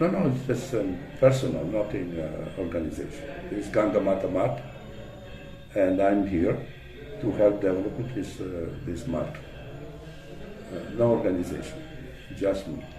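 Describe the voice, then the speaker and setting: Against music in the background and audible room echo, a man with a fairly low pitch speaks at a moderate pace with lively intonation and long, frequent pauses. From Italy. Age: 70s. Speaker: religious devotee and preacher. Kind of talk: interview. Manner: halting.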